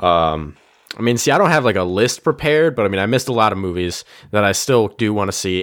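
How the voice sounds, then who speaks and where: In a plain, everyday voice, a man speaks at a fairly low pitch and a fairly quick pace with lively intonation, on a very clean recording with a silent background. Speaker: podcast host. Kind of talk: casual chat about movies.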